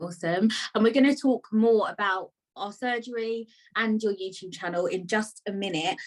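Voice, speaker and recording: With a British accent, a woman speaks at a moderate pace in a fairly high voice with ordinary pitch variation. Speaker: podcast host. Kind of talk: casual interview chat.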